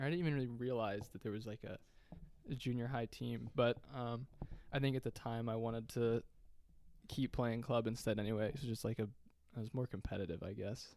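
With an American accent, a man talks at a medium pitch and fairly quick pace, his intonation fairly even. He leaves long, frequent pauses. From Ohio, Akron area. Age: 20s. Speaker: college soccer player. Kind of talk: casual chat. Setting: dorm room.

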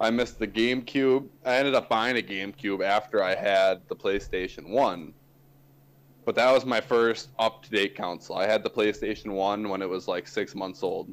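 A man of medium pitch speaks at a moderate pace with ordinary pitch variation in an ordinary speaking voice. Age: 20s. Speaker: podcast co-host. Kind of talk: casual chat.

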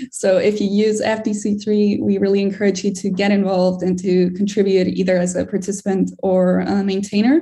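A woman's medium-pitched, dark, mellow, somewhat breathy voice at a moderate pace, with fairly even intonation, very even loudness and hardly any pauses. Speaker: strategic initiatives manager presenting. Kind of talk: community call presentation.

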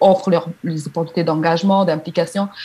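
A woman's fairly low voice, very fast, with fairly even intonation. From DR Congo. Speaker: activist. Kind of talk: interview. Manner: halting.

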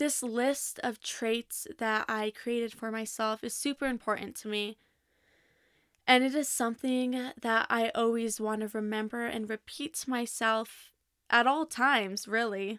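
A woman with a fairly high pitch speaks at a fairly slow pace on a very clean recording with a silent background. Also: fairly even intonation, dry, close sound with no echo. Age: 20s. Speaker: podcast host, college student. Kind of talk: solo monologue.

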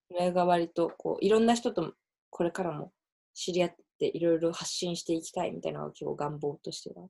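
The speaker moves at a fairly quick pace, with big swings in loudness. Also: woman. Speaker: podcast host. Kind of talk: casual chat.

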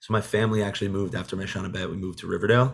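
With an American accent, a man talks very fast in a fairly low pitch and fairly even intonation, on a very clean recording with a silent background. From New York (Monsey). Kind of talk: casual chat.

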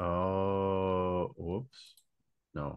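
Here is a man with a fairly low pitch. His tone is bright and sharp. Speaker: podcast host. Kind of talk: casual interview.

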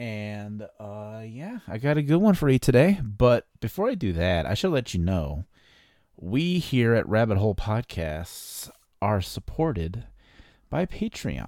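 With an American accent, a man speaks fairly slowly in a medium pitch with a dark, mellow tone and very wide pitch swings, on a very clean recording with a silent background. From US Midwest, East Chicago, Indiana. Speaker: podcast host. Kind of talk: true crime storytelling monologue. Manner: casual, many fillers.

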